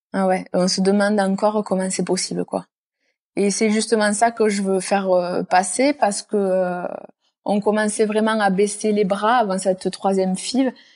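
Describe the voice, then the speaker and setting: A woman speaks at a medium pitch with very even loudness. The background is quiet. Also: moderate pace. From southern France. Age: 20s. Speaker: nurse and firefighter. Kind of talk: personal testimony interview.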